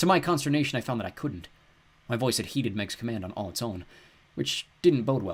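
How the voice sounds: A natural reading voice carries lively intonation.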